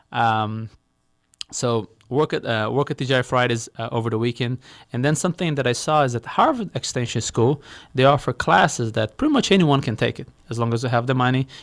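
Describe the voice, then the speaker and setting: At a fairly quick pace, a man speaks at medium pitch with ordinary pitch variation, in a dry, close sound with no echo and a very clean recording with a silent background. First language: Portuguese. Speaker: real estate investor, company founder. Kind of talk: interview. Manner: halting, repeats words.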